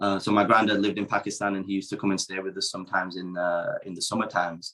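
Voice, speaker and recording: The man talks at a very fast pace in a fairly low pitch. His intonation stays monotone and flat. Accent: British. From Yorkshire, England (Dewsbury). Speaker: professional wrestler. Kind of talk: casual chat.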